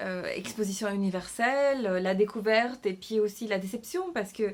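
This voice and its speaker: A medium-pitched woman with a non-native accent, at a very slow pace. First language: not French (speaking French). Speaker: novelist and illustrator. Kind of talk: casual vlog announcement. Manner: halting, many hesitations and repetitions.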